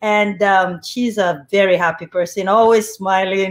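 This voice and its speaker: At a fairly slow pace, a woman speaks. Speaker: show host. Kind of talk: talk show introduction. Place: home room. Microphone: webcam.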